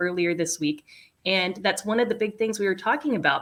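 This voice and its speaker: A woman is speaking. She has an American accent. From US South. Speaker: podcast co-host. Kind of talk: casual chat.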